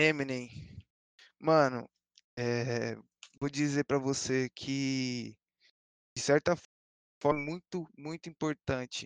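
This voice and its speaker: A man speaks very slowly, leaving long, frequent pauses, at a fairly high pitch with fairly even intonation. The sound is dry and close with no echo, against a quiet background. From Brazil, São Paulo East Zone. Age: young. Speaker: DJ. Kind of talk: casual chat.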